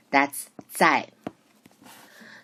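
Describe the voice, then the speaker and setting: A woman is speaking. She has a Chinese accent. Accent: Mandarin Chinese accent in English. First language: Mandarin Chinese. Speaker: Mandarin teacher. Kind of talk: lecture. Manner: halting, with self-corrections.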